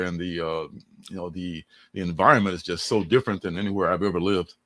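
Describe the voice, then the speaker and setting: A man with an American accent, very deep and low-pitched, at a very fast pace with ordinary pitch variation, in a very clean recording over a silent background. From Chicago, Illinois (parents from Mississippi). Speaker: comic book creator. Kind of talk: casual interview chat. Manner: casual, many fillers.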